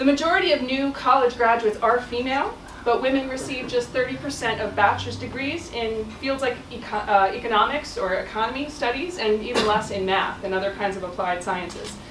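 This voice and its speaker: Over noticeable background noise and audible room echo, a woman with a high pitch talks at a fairly quick pace with lively intonation. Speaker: professor. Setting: stage with audience. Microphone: no microphone.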